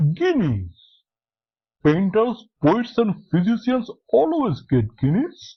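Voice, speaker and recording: A man puts on a character voice with a high pitch and very wide pitch swings. He speaks at a very slow pace. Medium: read story. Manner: blunt, dismissive.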